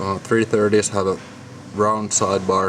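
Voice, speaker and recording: A man's fairly slow, fairly low-pitched speech over noticeable background noise. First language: Finnish. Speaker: lock hobbyist. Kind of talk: tutorial. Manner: halting.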